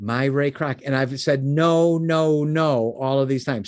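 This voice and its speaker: A man with an American accent and a plain, everyday voice talks at a moderate pace against a quiet background, using a fairly high pitch with ordinary pitch variation. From US Midwest. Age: 60s. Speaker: business mentor and founder.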